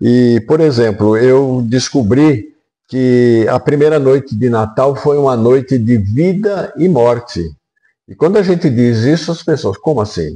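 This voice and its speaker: The voice has a dark, mellow tone and lively intonation. It moves at a fairly slow pace with very even loudness. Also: man, medium pitch for a man. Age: 80s+. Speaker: retired pastor. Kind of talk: sermon; interview. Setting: at his home.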